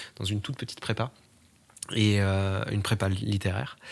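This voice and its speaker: A man's fairly low voice at a fairly slow pace. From eastern France. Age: 20s. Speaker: journalist interviewee. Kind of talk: interview testimony. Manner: hesitant, many fillers.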